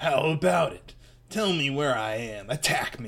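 A man puts on a character voice at a medium pitch and a moderate pace. Light background noise can be heard. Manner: gloating, menacing.

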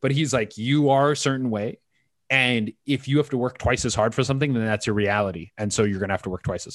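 Here is an unremarkable speaking voice with a Canadian accent and lively intonation, moving at a fairly quick pace. The background is quiet. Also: man. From western Canada (British Columbia). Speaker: stand-up comedian. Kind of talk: casual chat.

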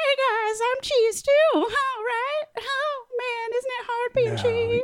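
The put-on character voice is squeaky and extremely high-pitched. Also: fairly slow pace. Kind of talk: cutesy, comedic voice. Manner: earnest, sad, eager to belong.

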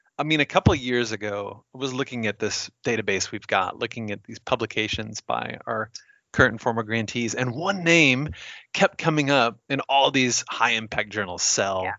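At a moderate pace, a man uses an ordinary speaking voice with medium pitch and ordinary pitch variation. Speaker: podcast host. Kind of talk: podcast intro, casual banter.

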